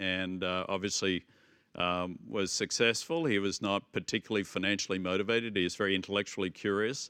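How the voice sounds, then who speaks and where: Fairly quick and fairly low-pitched, a man's voice comes through bright and sharp with fairly even intonation, dry and close with no echo over a quiet background. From Australia, Melbourne. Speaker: business executive. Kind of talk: interview.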